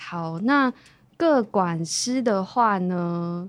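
Lively intonation marks this woman's speech in a very clean recording with a silent background. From Taiwan, Hualien (Bunun community). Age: young. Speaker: long-term care supervisor. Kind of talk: interview.

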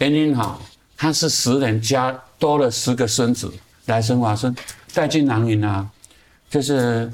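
Speaking at a fairly slow pace with long, frequent pauses, a man keeps a medium pitch, fairly even intonation and very even loudness. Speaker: artist. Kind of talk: casual interview. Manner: halting with many fillers and repetitions.

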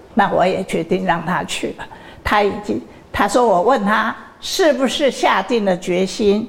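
Very slow female speech at medium pitch, ordinary in pitch variation, with noticeable background noise. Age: 80s+. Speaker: university chairwoman. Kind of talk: interview. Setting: university campus.

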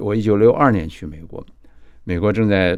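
A very deep, low male voice, fairly slow, with ordinary pitch variation. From China, moved to Taiwan as a child. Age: 80s+. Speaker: film director and author. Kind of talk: interview. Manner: halting, repeats words.

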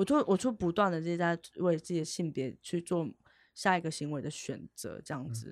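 With an unremarkable speaking voice, a woman at a fairly low pitch uses lively intonation in a very clean, dry, close recording with a silent background and no echo. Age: 30s. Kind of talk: podcast interview.

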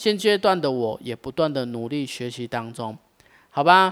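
Over a silent background in a very clean recording, a man with a fairly high pitch and a normal speaking voice talks at a moderate pace with lively intonation. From Taiwan, Taichung. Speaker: podcast host, coffee shop owner. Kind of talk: scripted monologue.

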